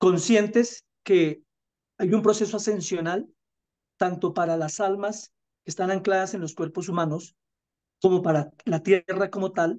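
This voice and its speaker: Over a quiet background, a man speaks at a fairly slow pace. His pauses are long and frequent. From Colombia. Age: 50s. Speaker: spiritual teacher. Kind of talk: interview. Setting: video call. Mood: calm, earnest. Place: home room. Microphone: video call.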